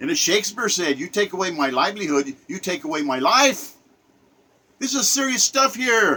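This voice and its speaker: A man speaks in a raised, projected voice at a fairly quick pace. His pitch swings very widely. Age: 70s. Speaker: political commentator. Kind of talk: rant monologue. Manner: animated.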